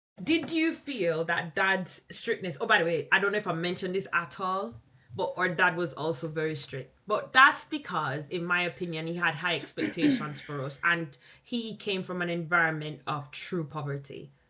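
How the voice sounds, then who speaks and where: A woman talks at a moderate pace with a fairly low pitch. Background noise is noticeable. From Jamaica. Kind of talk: podcast conversation.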